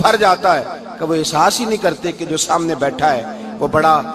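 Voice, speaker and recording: Music plays in the background as a man speaks in a passionate tone. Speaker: Islamic preacher. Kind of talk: religious sermon, emotional storytelling. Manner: emotional, passionate, sermonizing.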